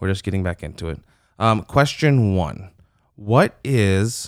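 A man with an American accent, his fairly low voice showing ordinary pitch variation. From Michigan. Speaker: podcast co-host, youth minister. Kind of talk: casual chat.

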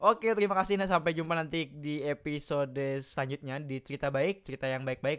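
This man's voice sits at a fairly high pitch with ordinary pitch variation. He talks at a fairly quick pace. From Jakarta. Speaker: podcast co-host. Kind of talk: casual chat. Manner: fast.

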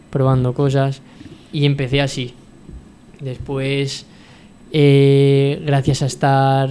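A man talks at a medium pitch. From Valencia region, Spain (Puerto de Sagunto). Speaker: football fitness coach. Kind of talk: radio interview. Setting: radio studio.

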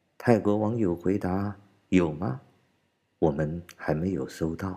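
The speaker goes at a very slow pace, with ordinary pitch variation. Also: man, big swings in loudness. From China. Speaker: political commentator podcaster. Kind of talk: commentary monologue.

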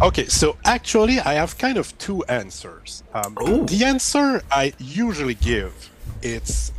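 With music in the background, a man in a French Canadian accent speaks at a fairly slow pace. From Quebec, Canada. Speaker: YouTuber. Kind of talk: casual interview.

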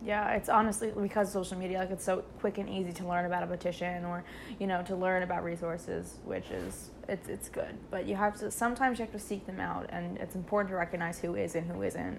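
Speaking very fast with vocal fry, a woman keeps a medium pitch and a monotone, flat intonation. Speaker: college student podcast co-host. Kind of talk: casual chat.

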